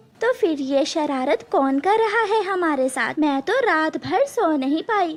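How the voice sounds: A cartoonish character voice speaks at a high pitch. Its pace is moderate.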